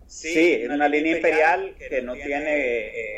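A male speaker against noticeable background noise. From Nicaragua. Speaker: war veteran and activist. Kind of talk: interview.

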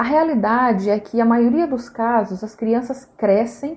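An unremarkable speaking voice from a woman, fairly high in pitch with ordinary variation, at a moderate pace. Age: 20s. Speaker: social worker. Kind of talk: radio interview.

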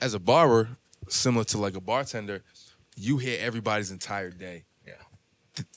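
An ordinary speaking voice at a moderate pace, with ordinary pitch variation and big swings in loudness. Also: man, fairly low pitch for a man. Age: 30s. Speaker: podcast host and barber. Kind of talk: casual chat. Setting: barbershop.

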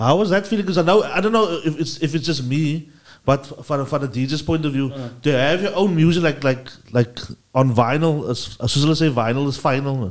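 A man with an ordinary speaking voice, fairly high pitch, ordinary pitch variation and a fairly quick pace. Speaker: podcast host.

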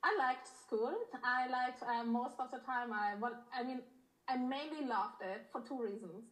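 The clip has audible room echo. A woman with a high voice talks at a moderate pace with ordinary pitch variation. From Germany, born in Poland. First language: Polish or German. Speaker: intimacy coach. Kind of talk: casual interview.

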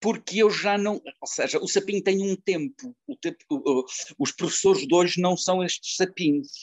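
His intonation is lively and his pace moderate. The man's pitch is high. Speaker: actor and retired teacher. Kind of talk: interview. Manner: halting.

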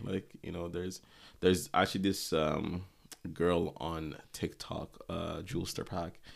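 With an American accent, a man talks in a very deep, low pitch with ordinary pitch variation on a very clean recording with a silent background. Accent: near-American sounding English. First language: not English. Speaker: podcast co-host. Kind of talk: casual chat. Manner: animated.

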